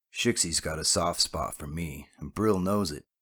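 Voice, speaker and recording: A man's raspy put-on character voice, very deep and low, at a moderate pace in a very clean recording with a silent background. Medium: read story. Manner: curt, gruff.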